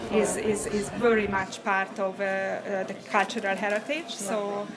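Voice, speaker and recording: A woman speaks at a fairly slow pace with a medium pitch and fairly even intonation. There is noticeable background noise. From Hungary. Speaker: picture framer and embroidery artist. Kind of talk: interview answer.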